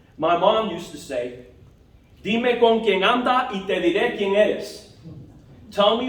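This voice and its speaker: A man with an American accent talks at a moderate pace, his pitch high. Room echo is audible, and background noise is noticeable. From New York (Bronx, Long Island). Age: 60s. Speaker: toastmasters club member. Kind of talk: prepared speech. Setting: club meeting.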